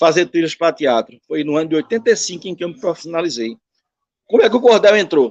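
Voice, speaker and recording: The voice moves at a very fast pace with lively intonation. Its sound is dry and close, with no echo. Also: man, high pitch for a man. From Brazil, Northeast (Recife, Pernambuco). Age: 60s. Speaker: musician and cordel poet. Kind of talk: interview.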